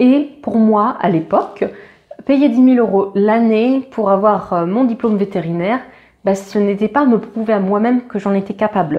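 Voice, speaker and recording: This woman's voice sits fairly high in pitch and moves with ordinary variation. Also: moderate pace. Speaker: veterinary student, YouTuber. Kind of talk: casual vlog talk to camera. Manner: hesitant, many fillers.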